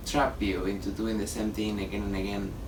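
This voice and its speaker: A man speaks with an Argentine accent. Audible room echo surrounds his voice. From Argentina. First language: Spanish. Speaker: artist and drag performer. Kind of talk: documentary interview. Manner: casual.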